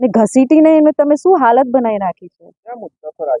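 Lively intonation runs through this woman's speech. Her pitch is high. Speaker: party district president, politician. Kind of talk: press statement.

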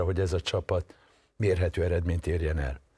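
A somewhat breathy quality marks this man's voice. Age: old. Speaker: film critic and writer; guest. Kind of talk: TV political discussion. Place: studio.

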